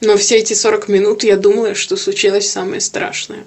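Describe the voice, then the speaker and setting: A woman's medium-pitched voice, flat and monotone, at a fairly slow pace. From Kyiv, Ukraine. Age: 20s. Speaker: IT worker. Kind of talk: testimony.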